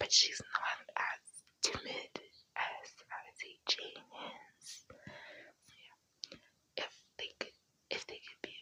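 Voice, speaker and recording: A woman whispers at a very slow pace, with long, frequent pauses. Her loudness swings widely. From South Africa. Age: 20s. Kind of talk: ASMR whispered chit-chat. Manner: whispered, soft-spoken.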